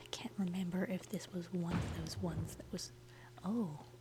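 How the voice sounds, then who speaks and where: Soft-spoken and calm in tone, at a moderate pace. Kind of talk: casual gameplay commentary, relaxed talk to the viewers. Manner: soft-spoken, calm.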